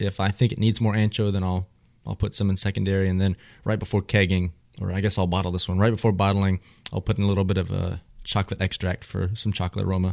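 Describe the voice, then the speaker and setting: In a Texan accent, a man talks very fast in a very deep, low voice with flat, monotone intonation. The sound is dry and close with no echo, and the recording is very clean with a silent background. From Texas. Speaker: beer podcast host. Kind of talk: casual chat.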